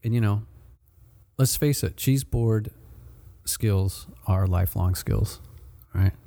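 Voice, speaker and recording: With a dark, mellow tone and somewhat breathy voice, a man at fairly low pitch speaks at a very slow pace, leaving long, frequent pauses, with ordinary pitch variation and very even loudness. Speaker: podcast host, marketing manager. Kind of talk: casual interview chat. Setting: in-store studio, recorded at a shop. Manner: upbeat, friendly.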